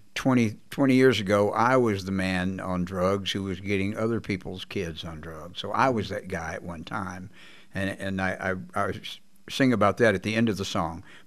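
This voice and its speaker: A man with an American accent, fairly low in pitch, with fairly even intonation at a moderate pace. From Texas. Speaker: blues guitarist; guest. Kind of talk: interview. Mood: reflective, candid. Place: studio. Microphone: studio mic.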